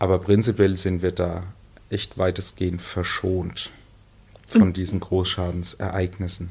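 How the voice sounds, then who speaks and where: A man with a very deep, low pitch speaks somewhat breathily at a fairly slow pace, in a monotone, flat intonation with long, frequent pauses. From Lower Franconia, Bavaria (Miltenberg district). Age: 30s. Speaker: emergency medical services manager. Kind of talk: interview. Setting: studio.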